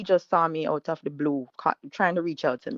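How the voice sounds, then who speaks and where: With a Jamaican accent, a woman speaks at a fairly low pitch. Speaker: caller telling her story. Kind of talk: personal story told live. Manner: halting.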